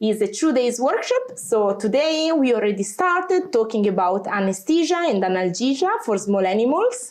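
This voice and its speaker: With a strong Italian accent, a woman speaks at a high pitch and a moderate pace, her pitch swinging very widely while her loudness stays very even and she hardly pauses. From Italy. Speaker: veterinarian. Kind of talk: interview. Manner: chatty.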